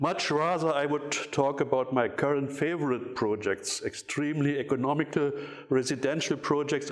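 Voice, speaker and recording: Over noticeable background noise, a man with a German accent speaks at a moderate pace in a fairly high pitch with fairly even intonation. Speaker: architecture critic. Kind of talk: lecture. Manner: reading from paper; halting.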